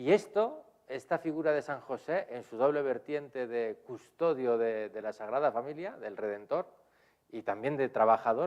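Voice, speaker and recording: Moderate pace in a Spanish accent, with lively intonation and big swings in loudness. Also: man, medium pitch for a man. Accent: Spanish (Spain). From Spain. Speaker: priest and theology professor. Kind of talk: lecture. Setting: lecture hall with audience, streamed. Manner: hesitant, with frequent fillers.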